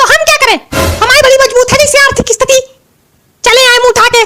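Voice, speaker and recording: Over music in the background, a woman rattles along at a very fast pace in a squeaky, put-on character voice. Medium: comedy sketch. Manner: plain, innocent.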